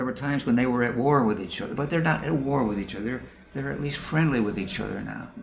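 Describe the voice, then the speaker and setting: Audible room echo carries a man's voice with lively intonation. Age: 80s+. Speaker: retired professor of counseling psychology. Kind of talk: interview. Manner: repetitive, halting.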